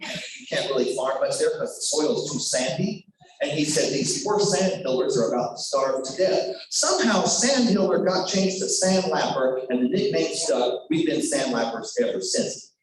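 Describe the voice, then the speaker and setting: Against noticeable background noise, a man talks at a moderate pace with hardly any pauses. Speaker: professional storyteller. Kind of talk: live storytelling performance for school children, casual and conversational. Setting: remote video call with a school audience.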